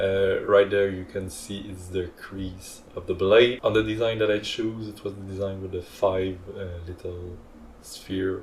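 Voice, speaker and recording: A man speaks at a fairly low pitch in a flat monotone. His loudness swings widely while he keeps a fairly slow pace. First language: not English. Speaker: hobbyist 3D printing creator. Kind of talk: tutorial narration. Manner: hesitant, many fillers.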